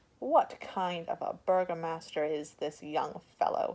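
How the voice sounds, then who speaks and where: A woman puts on a gruff, growling character voice. She keeps it at a fairly low pitch and a moderate pace. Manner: growling, gruff, irritated.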